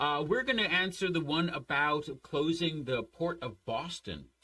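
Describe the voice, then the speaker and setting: A man talks at a moderate pace with vocal fry. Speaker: history teacher. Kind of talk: online class lecture. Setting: online class.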